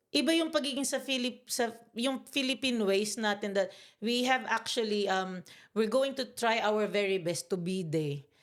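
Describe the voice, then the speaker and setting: At a moderate pace, a woman with a fairly high pitch speaks in a very clean recording against a silent background. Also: lively intonation. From Philippines, Bicol. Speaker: podcast guest. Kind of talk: casual chat. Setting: studio, on camera. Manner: loud; animated.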